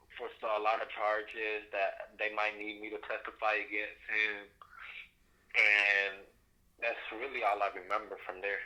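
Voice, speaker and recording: Flat and monotone, a man speaks at a fairly slow pace, leaving long, frequent pauses. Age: 20s. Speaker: crime victim. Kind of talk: interview testimony. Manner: halting.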